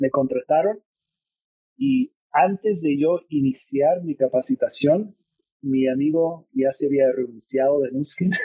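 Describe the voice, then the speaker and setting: A man talks very slowly in an American accent. His pitch varies in an ordinary way. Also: fairly high pitch for a man. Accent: American (gringo) accent in Spanish. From California, US. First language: English (speaking Spanish). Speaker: business executive. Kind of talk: interview.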